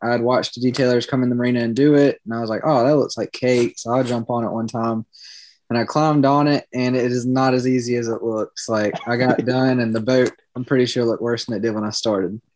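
In a Southern US accent, a man speaks at a very fast pace with monotone, flat intonation. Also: medium pitch for a man. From South Carolina. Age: 20s. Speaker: business owner. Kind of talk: casual interview.

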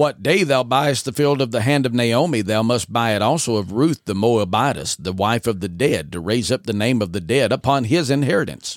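Here is a man with an unremarkable speaking voice at medium pitch, using lively intonation at a fairly quick pace with hardly any pauses. The recording is very clean, with a silent background. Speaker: podcast host. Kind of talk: scripture reading, dramatized audio adaptation narration. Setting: studio. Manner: measured, solemn, reverent narrator cadence with archaic King James phrasing.

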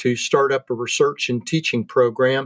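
A man with an American accent and a normal speaking voice talks at a moderate pace with a fairly high pitch, in a dry, close sound with no echo. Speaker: horticulture professor. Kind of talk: casual interview.

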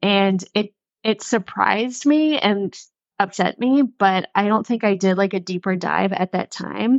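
Speaking in an unremarkable speaking voice, a woman with a medium pitch goes at a fairly slow pace, with ordinary pitch variation and very even loudness. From Western North Carolina. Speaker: podcast co-host. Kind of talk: casual chat.

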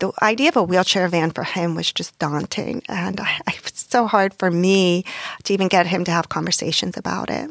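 A woman with an American accent and medium pitch speaks at a moderate pace with vocal fry and ordinary pitch variation, recorded dry and close with no echo. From US, Pittsburgh, Pennsylvania. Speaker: nonprofit president. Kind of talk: podcast interview, testimony.

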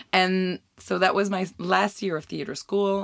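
A woman with a French Canadian accent speaks at a fairly slow pace on a very clean recording with a silent background. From Quebec. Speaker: podcast host. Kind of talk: casual chat.

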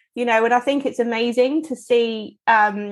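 A woman with a slight Devon accent speaks at a moderate pace and a high pitch. The background is quiet. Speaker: podcast co-host. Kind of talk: casual chat.

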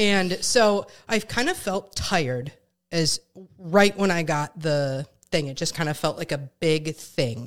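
With an unremarkable speaking voice and an American accent, a woman talks fairly slowly at a fairly low pitch with lively intonation, on a very clean recording with a silent background. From Wisconsin, Richland Center. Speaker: podcaster and coach. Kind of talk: casual chat.

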